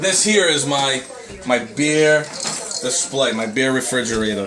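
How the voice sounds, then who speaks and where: Someone speaks with a Long Island accent in a room with audible echo and noticeable background noise. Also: man. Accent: New York (Long Island). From Long Island, New York. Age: 30s. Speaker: amateur cook, cooking show contestant. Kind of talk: casual home tour video. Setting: at home, kitchen. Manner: casual, animated.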